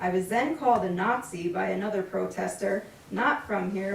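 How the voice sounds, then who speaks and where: The intonation is fairly even, with audible room echo and noticeable background noise in the recording. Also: woman. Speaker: member of the public speaking at a village board meeting. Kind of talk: public comment read from prepared notes. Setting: public meeting room.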